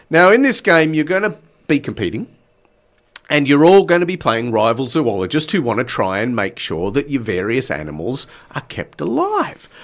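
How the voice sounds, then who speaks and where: Upbeat and full of very wide pitch swings, a man's voice carries vocal fry. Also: medium pitch for a man, moderate pace. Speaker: radio host. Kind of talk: radio dj patter. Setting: radio studio. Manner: punchy, upbeat, teasing radio-announcer tone.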